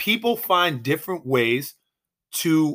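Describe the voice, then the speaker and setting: On a very clean recording with a silent background, a man with an American accent talks at a fairly slow pace, his bright, sharp tone set at a fairly high pitch with lively intonation. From Boston area. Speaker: sports podcast host. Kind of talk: solo sports commentary monologue.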